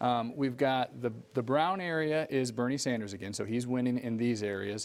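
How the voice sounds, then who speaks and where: A normal speaking voice moves along at a moderate pace, its pitch varying in an ordinary way. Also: man. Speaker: news anchor. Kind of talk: live election results analysis.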